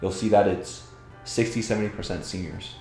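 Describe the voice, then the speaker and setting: Music plays in the background as a man speaks at a fairly low pitch with ordinary variation. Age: 30s. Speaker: real estate investor. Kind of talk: interview answer. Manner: casual.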